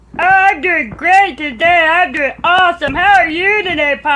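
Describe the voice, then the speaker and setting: At a moderate pace, the speaker puts on a cartoonish character voice with an extremely high pitch. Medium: puppet show. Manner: bubbly, eager.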